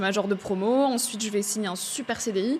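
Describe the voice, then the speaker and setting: A woman with a plain, everyday voice speaks at a moderate pace, her fairly high pitch moving with ordinary variation. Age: 20s. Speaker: podcaster and speaker. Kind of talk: interview conversation.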